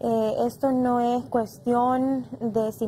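Light background noise sits behind a woman with a fairly high pitch. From Honduras. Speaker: congresswoman; guest, politician. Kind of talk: panel discussion. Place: studio.

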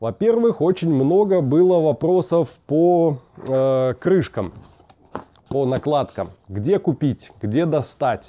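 Speech moves at a very slow pace against a quiet background. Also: man. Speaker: motorcycle vlogger. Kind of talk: casual vlog chat. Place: garage.

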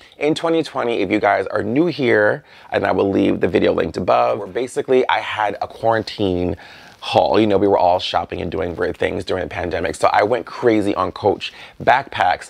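A man speaks at a moderate pace. Behind him, the background stays quiet. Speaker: fashion vlogger. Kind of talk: casual vlog chat. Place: home room.

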